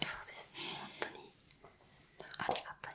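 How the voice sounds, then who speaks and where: A woman whispers in a calm tone. Noticeable background noise can be heard. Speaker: rental friend (errand and companionship service worker). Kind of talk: interview answer. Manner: soft-spoken, calm, conversational.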